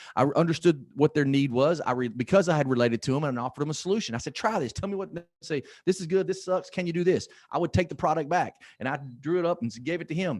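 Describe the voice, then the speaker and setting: Very fast and animated, a man speaks in a fairly high voice with lively intonation. The recording is very clean with a silent background and a dry, close sound with no echo. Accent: slight Southern US. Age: 50s. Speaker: motivational speaker. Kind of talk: motivational talk.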